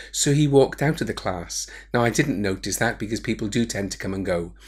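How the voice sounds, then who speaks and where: Speaking with a Welsh accent, a man uses a medium pitch, lively intonation and vocal fry. The recording is very clean, with a silent background. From Wales, Cardiff. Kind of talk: personal testimony. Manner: hesitant, with fillers.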